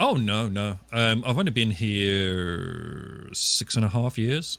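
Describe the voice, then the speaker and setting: A man speaks very slowly in a British accent. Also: medium pitch for a man, ordinary pitch variation. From England, West Midlands. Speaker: live streamer. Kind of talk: casual interview on live stream. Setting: live stream podcast.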